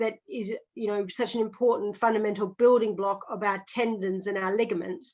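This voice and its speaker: This woman has an Australian accent. She speaks at a fairly quick pace. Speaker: physiotherapist. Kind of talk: podcast interview. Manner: explanatory, conversational with fillers.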